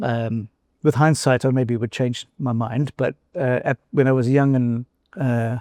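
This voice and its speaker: Speaking with a South African accent, a man has a dark, mellow tone, fairly even intonation and a fairly slow pace. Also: medium pitch for a man, dry, close sound with no echo, very clean recording, silent background. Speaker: former company chief executive. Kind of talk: interview conversation. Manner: hesitant, with fillers and restarts.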